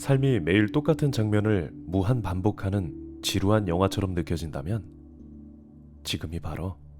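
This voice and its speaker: Music plays in the background as a man talks with a very deep, low pitch. His tone is calm and his intonation lively. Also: fairly slow pace. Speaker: ASMR creator. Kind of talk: ASMR roleplay narration, healing story read. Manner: soft, calm, slow.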